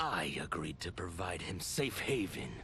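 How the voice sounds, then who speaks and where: Putting on a character voice, a man speaks at a fairly slow pace over loud background noise. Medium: video game. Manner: hard, determined.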